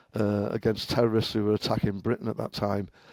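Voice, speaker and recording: A man with an English accent speaks in a dark, mellow tone, the sound dry and close with no echo on a very clean recording with a silent background. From England, Liverpool. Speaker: cybersecurity engineer, former professional hacker. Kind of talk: podcast interview.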